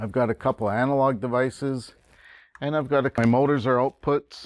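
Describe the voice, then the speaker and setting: A man's medium-pitched voice at a moderate pace, with ordinary pitch variation and a dry sound with no echo. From Canada. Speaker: college instructor. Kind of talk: tutorial. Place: classroom.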